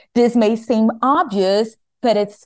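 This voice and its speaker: A woman speaks with a Portuguese accent at a fairly high pitch. Her pace is fairly slow, and the background is quiet. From Brazil. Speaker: climate lawyer. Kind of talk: academic panel discussion.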